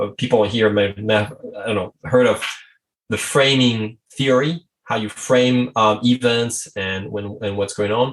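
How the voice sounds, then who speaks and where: A man with a French accent talks at a fairly slow pace, at medium pitch, with fairly even intonation. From France. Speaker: strategy consultant. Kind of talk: podcast interview.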